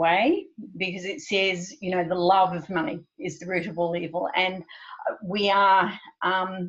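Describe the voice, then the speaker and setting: The delivery is fairly slow. It comes in a plain, everyday voice. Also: woman. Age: 60s. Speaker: money coach. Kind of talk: interview.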